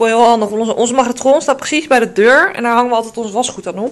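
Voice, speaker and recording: A woman with a fairly high pitch talks at a very fast pace. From Netherlands. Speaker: beauty vlogger. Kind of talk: casual vlog. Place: home room. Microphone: phone near.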